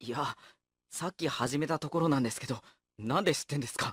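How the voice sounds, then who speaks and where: A raspy, put-on character voice at a low-to-middle pitch, delivered at a fairly quick pace. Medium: audio drama. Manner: polite, exasperated straight man.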